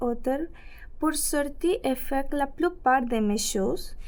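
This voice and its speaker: Lively intonation runs through this woman's speech. She talks at a very slow pace. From Ecuador. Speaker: French-learning immigrant storyteller. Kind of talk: reading aloud personal story.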